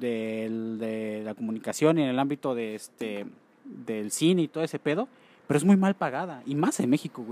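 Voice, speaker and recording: A man with lively intonation talks at a moderate pace, the sound dry and close with no echo. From Mexico. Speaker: podcast host. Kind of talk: casual chat. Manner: animated.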